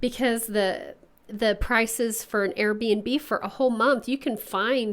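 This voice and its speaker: The pace is fairly slow. The intonation stays fairly even. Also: woman, fairly high pitch for a woman. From Oklahoma. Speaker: podcast co-host. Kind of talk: casual chat.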